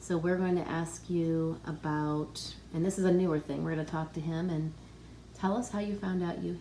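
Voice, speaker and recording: This voice is somewhat breathy with a dark, mellow tone, moving at a moderate pace. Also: woman. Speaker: pharmacist. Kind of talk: interviewer on health channel.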